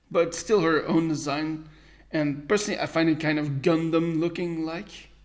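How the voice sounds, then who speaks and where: A man's fairly high voice with an American accent, monotone and flat, at a moderate pace. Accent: American-sounding English. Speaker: podcast host. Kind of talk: solo podcast review. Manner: halting.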